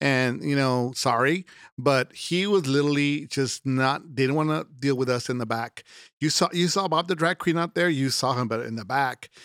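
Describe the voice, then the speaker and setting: A man with an American accent speaks in a normal speaking voice, fairly high-pitched for a man, at a moderate pace with ordinary pitch variation. The recording is very clean with a silent background and a dry, close sound with no echo. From Laredo, Texas. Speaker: drag performer. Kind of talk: casual chat, interview. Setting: studio.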